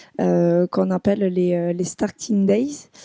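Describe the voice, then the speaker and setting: A woman's dark, mellow tone with a southwestern French accent, in a very clean recording with a silent background and a dry, close sound with no echo. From southwest France. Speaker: business school student. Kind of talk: podcast interview. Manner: hesitant, many fillers.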